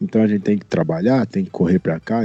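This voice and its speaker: A man's fairly even intonation carries over background music. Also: dry, close sound with no echo. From interior of São Paulo state. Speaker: singer. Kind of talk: casual chat.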